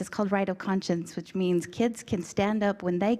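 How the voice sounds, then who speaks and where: Her pitch is medium. The woman's tone comes across as dark and mellow. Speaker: state school board member and candidate. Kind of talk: candidate speech at community forum. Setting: community forum with audience. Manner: fast.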